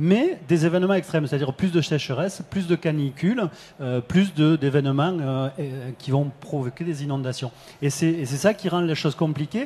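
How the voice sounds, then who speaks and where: With a southern French accent, a man speaks at a moderate pace and a fairly high pitch with ordinary pitch variation. His tone is dark and mellow and somewhat breathy. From southern France. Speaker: company head, risk forecasting expert. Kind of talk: panel discussion. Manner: hesitant, many fillers.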